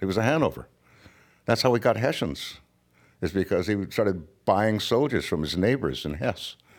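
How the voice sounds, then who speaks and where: Here is a man with a Californian accent and a fairly low pitch. He talks at a moderate pace with lively intonation. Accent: American (Californian). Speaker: author. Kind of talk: interview conversation.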